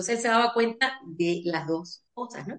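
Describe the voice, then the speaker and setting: Fairly slow, ordinarily varied pitch from a woman's voice. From Venezuela. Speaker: family constellation therapist and lawyer. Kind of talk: interview.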